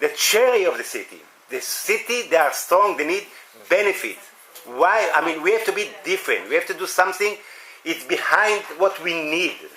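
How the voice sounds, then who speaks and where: Over noticeable background noise, a man with an Israeli accent uses a raised, projected voice at a high pitch, speaking at a moderate pace with ordinary pitch variation. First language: Hebrew. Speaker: municipal volunteer coordinator. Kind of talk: workshop discussion. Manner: halting.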